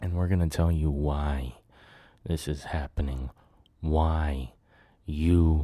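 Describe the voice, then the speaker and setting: A somewhat breathy voice with a dark, mellow tone. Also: man. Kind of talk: podcast monologue, personal storytelling. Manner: animated, emphatic, conversational.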